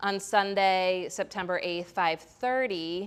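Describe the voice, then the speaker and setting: This woman has a plain, everyday voice with an American accent. Her pitch is medium and her intonation fairly even. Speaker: yoga teacher. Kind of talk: yoga class instruction and announcements. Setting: yoga studio with class present. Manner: casual, with many fillers.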